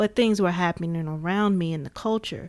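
With an American accent, a woman talks at a fairly quick pace in an ordinary speaking voice. Her medium pitch shows ordinary variation, on a very clean recording with a silent background. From US Midwest, Gary, Indiana. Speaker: podcast host. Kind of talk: casual chat. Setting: studio.

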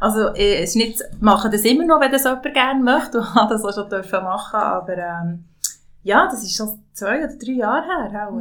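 This woman's voice sits fairly high, with lively intonation at a moderate pace. Noticeable background noise runs underneath. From Swiss mountain valley (Valais). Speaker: podcast host and label founder. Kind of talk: casual conversation.

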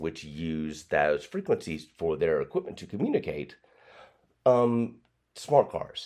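A fairly slow pace in a Tennessee accent. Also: man. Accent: Southern US (Tennessee). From East Tennessee, US South. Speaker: broadcast engineer and former TV meteorologist. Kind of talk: casual interview.

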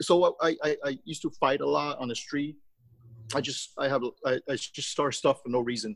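A man speaks at a moderate pace with a Taiwanese accent. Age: 50s. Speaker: charity group founder, businessman. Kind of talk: interview answers, personal storytelling.

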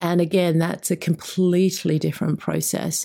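The speaker talks at a moderate pace in an Australian accent. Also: woman. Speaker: school higher education director. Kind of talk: casual interview chat.

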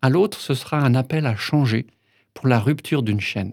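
Very clean recording of a man's voice, silent background throughout. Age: 60s. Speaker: pastor. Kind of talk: interview and spoken meditation.

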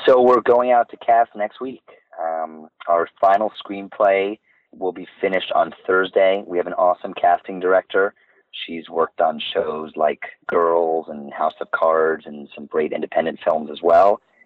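A man speaks at a fairly slow pace with an American accent. His pitch is very deep and low. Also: ordinary pitch variation. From New York City, Manhattan. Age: 30s. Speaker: film producer. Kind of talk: interview.

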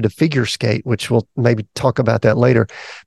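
The speaker has a Southern US accent. The intonation stays fairly even. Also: man. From US South. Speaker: podcast host, executive coach. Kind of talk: interview conversation.

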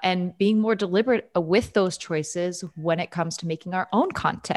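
Against a quiet background, a woman with an American accent uses an ordinary speaking voice at a medium pitch and a moderate pace. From New York. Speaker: comedy writer and actress. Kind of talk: casual interview chat.

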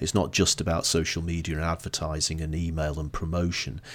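In a northern English accent, the speech moves at a fairly quick pace with monotone, flat intonation on a very clean recording with a silent background. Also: man. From northern England, Blackpool. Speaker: marketing consultant and author. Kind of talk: podcast interview.

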